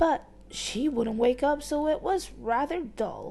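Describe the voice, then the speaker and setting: A woman does a put-on character voice at a high pitch. She goes at a fairly slow pace over light background noise. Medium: read story. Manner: airy, jolly, upper-class.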